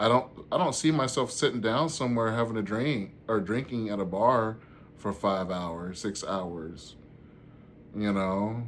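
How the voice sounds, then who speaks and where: A man with a Southern US accent speaks at a fairly slow pace and medium pitch, with ordinary pitch variation. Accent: Southern country. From US South, Georgia (Warner Robins). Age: 40s. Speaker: stand-up comedian and vlogger. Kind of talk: casual vlog chat.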